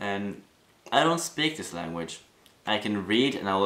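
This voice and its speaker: With a Norwegian accent, a man speaks at a fairly slow pace and a fairly low pitch. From Norway. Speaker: vlogger. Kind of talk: casual talk to camera. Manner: halting, many fillers and restarts.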